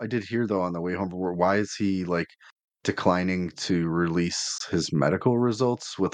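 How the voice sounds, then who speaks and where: His pitch sits very deep and low as this man talks at a moderate pace, intonation fairly even. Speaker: fantasy football podcast co-host. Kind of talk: casual chat.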